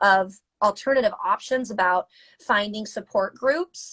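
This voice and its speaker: A woman with an American accent speaks in a fairly high pitch and a bright, sharp tone, her pitch moving in an ordinary way, the sound dry and close with no echo. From US South. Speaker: mental health advocate, interviewer. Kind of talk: casual chat. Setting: Instagram live video call.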